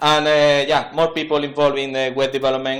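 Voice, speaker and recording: Over audible room echo, a man with an Andalusian accent speaks at a medium pitch and a moderate pace. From Spain, Andalusia (Seville). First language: Spanish. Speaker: web developer, conference speaker. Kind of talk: conference talk. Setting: stage with audience. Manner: halting, many fillers.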